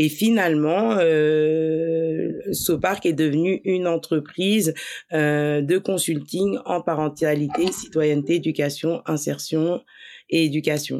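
Very slowly and at a very even loudness, the speaker talks with ordinary pitch variation on a very clean recording with a silent background. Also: woman, very deep, low pitch for a woman. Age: 30s. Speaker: social entrepreneur, trained special educator. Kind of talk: casual interview.

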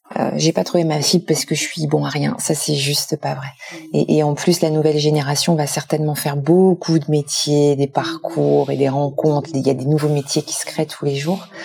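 With noticeable background noise, a woman with a very deep, low pitch speaks at a moderate pace in fairly even intonation, with hardly any pauses. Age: 50s. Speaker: foundation president. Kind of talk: interview.

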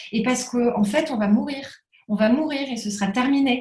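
Her pace is moderate, and she is a woman with a high pitch. Her pitch variation is ordinary. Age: 30s. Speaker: entrepreneur in the crafts sector. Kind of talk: interview.

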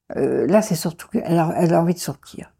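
Somewhat breathy, a woman speaks at a moderate pace in a dark, mellow tone with ordinary pitch variation. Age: 70s. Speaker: foster mother. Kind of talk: testimony. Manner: halting.

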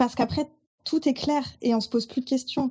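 The woman's tone is dark and mellow. She keeps to a moderate pace. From Burgundy, France. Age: 30s. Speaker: social media consultant. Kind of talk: podcast interview.

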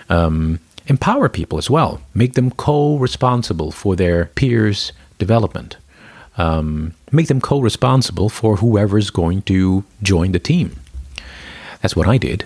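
At a fairly slow pace, a man with a plain, everyday voice and a fairly low pitch speaks with lively intonation, the sound dry and close with no echo. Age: 40s. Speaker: corporate culture lead and coach. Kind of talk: interview.

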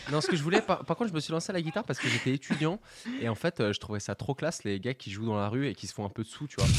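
On a very clean recording with a silent background, a man talks very fast at a fairly high pitch with very wide pitch swings, the sound dry and close with no echo. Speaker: studio technician and co-producer. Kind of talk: casual radio chat. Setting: radio studio control room.

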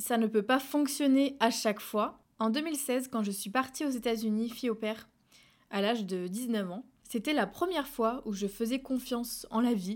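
A woman's normal speaking voice, fairly high in pitch, with ordinary pitch variation at a fairly slow pace, in a very clean recording with a silent background. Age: 20s. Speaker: podcaster. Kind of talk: personal monologue.

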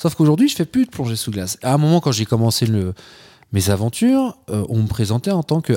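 The man has a medium-pitched voice with a dark, mellow tone. He speaks at a moderate pace, and the sound is dry and close with no echo. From France, Troyes (Aube). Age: 40s. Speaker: polar explorer and diving instructor. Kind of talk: casual interview chat. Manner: animated, joking.

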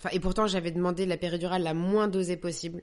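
A woman speaks at a very fast pace. Her pitch sits fairly low. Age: 30s. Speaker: actress and young mother. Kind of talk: personal testimony. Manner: hesitant, many repetitions.

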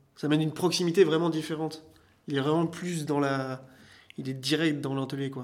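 Here a man talks at a fairly quick pace in a fairly high pitch. The intonation stays monotone and flat. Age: 30s. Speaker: leather care artisan and shop owner. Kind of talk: interview. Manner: halting, many fillers.

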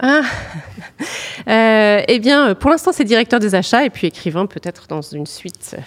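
A woman with a fairly high voice speaks at a moderate pace with long, frequent pauses, very wide pitch swings and big shifts in loudness, in a dry, close recording with no echo. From northern France (Nord, Lille suburbs). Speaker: purchasing director. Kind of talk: interview. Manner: hesitant, many fillers.

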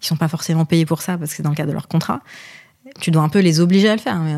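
Her dark, mellow voice sits fairly low, and this woman keeps her intonation fairly even. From Lebanon, raised in Paris from childhood. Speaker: marketing and communication director. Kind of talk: podcast interview.

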